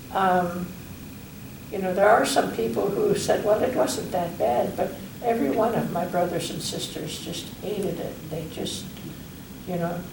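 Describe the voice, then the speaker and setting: Against noticeable background noise, a woman with a fairly low voice talks at a moderate pace with lively intonation and long, frequent pauses. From Holikachuk, Alaska. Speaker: Athabascan elder. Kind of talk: oral history interview answer.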